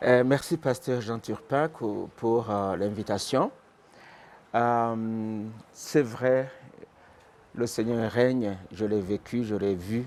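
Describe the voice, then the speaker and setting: Very slowly, a man speaks with long, frequent pauses. His pitch is medium with ordinary variation. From Burundi (born in Rwanda). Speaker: pastor. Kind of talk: testimony. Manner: halting.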